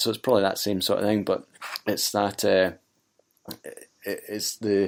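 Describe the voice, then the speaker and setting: A man's raspy, fairly low put-on character voice at a moderate pace. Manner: stuttering, hesitant.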